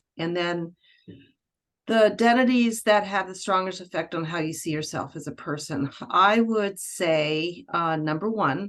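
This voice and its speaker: Her pitch varies in an ordinary way as the woman talks at a moderate speed. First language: French. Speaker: book club participant, former military nurse. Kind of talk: casual group discussion on video call. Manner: halting.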